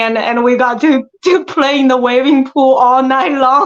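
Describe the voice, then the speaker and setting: The speaker has a strong Chinese accent and talks at a moderate pace with fairly even intonation. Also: woman. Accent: thick Chinese. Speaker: actress. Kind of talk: interview. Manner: halting.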